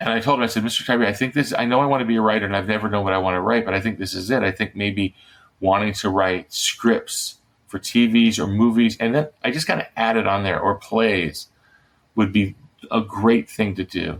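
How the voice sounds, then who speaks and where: Using a normal speaking voice, a man talks at a fairly quick pace with fairly low pitch and fairly even intonation. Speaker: middle grades author and former television writer. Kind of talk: interview answer, telling a personal anecdote.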